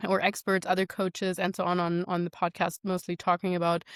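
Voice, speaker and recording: The voice runs at a fairly quick pace in a flat monotone, with a dry, close sound, no echo, and a very clean recording against a silent background. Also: woman. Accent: non-native. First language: not English. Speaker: nutrition and fitness coach. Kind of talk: interview conversation.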